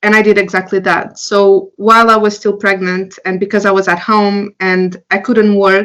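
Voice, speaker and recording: At a fairly quick pace, a woman talks at medium pitch with a Portuguese accent. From Portugal. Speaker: entrepreneur. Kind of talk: interview. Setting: podcast.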